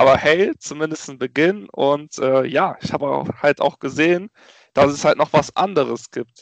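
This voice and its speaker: Speaking in an ordinary speaking voice, a man keeps a fairly slow pace with a fairly high pitch and ordinary pitch variation. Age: 20s. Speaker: entrepreneur and network founder. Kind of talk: interview.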